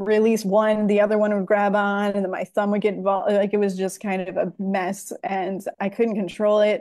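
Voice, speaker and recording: A woman speaks at a moderate pace with an American accent. Her tone is dark and mellow against a quiet background. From Ohio, USA. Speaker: former professional percussionist, app developer. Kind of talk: interview answer. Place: home room. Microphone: earbuds.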